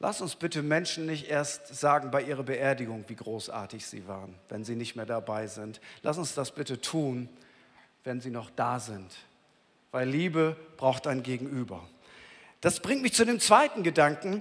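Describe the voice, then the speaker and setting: A man's medium-pitched voice at a moderate pace, with lively intonation, big swings in loudness and long, frequent pauses. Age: 50s. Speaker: pastor. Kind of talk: sermon. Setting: church. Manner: conversational, addresses listener directly.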